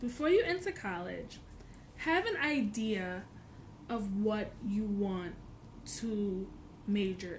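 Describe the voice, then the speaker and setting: A woman with a fairly high, somewhat breathy voice speaks at a very slow pace with lively intonation, and audible room echo surrounds her. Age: 20s. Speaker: college student vlogger. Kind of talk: casual vlog tutorial. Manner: hesitant with many fillers.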